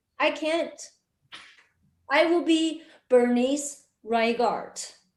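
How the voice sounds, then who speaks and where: Her high-pitched voice shows ordinary pitch variation as the woman speaks at a very slow pace, with audible room echo. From China. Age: 30s. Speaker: stand-up comedian. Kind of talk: stand-up. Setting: stage with audience.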